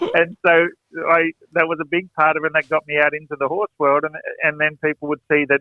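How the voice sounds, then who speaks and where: Speaking very fast with an Australian accent, a man uses a fairly high pitch. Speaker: horse trainer and performer. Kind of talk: interview storytelling.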